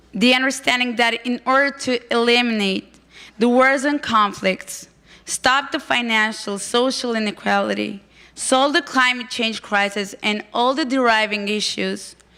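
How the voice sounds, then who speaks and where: With a non-native accent, a woman speaks at a high pitch and a fairly slow pace, her tone bright and sharp and her pitch varying in an ordinary way. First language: not English. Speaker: conference speaker, project volunteer. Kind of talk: prepared presentation.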